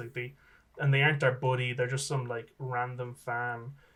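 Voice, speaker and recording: Talking at a fairly quick pace, a man has an Irish accent and a medium pitch. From Ireland. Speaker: electronic musician. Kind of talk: casual chat. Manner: halting, many repetitions.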